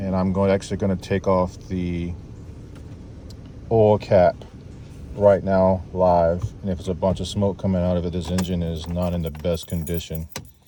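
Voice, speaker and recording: A man speaks quietly with a very deep, low pitch at a moderate pace. His intonation is monotone and flat. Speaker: mobile mechanic. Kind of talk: tutorial. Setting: outdoors at a customer's house, beside a car. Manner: quiet, low-voiced.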